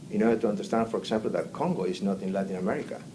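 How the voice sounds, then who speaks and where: A man's medium-pitched voice with a Spanish accent and very wide pitch swings. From Argentina. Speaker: immigrant interviewee. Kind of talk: interview. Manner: halting.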